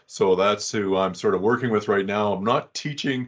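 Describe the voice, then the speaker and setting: Against a quiet background, a man with a Canadian accent talks at a moderate pace in a fairly low pitch. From Western Canada, Calgary. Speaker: data vault trainer and consultant. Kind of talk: technical presentation. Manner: halting, many repeats and fillers.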